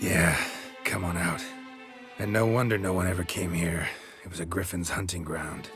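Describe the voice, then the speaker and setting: With clear music in the background, a man does a put-on character voice in a very deep, low pitch at a moderate pace. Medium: machinima. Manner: dry, deadpan, sardonic.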